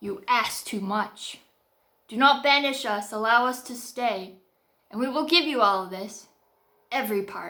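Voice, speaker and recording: Using a put-on character voice, a woman speaks at a high pitch and a moderate pace, with long, frequent pauses and audible hissing. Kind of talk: horror narration. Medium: read story. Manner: speaking in unison, menacing.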